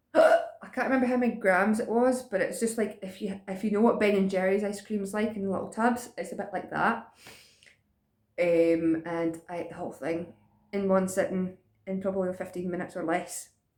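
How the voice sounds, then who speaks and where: Using ordinary pitch variation, a woman speaks with a Scottish accent. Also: medium pitch for a woman. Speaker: vlogger. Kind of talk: casual chat. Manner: fast.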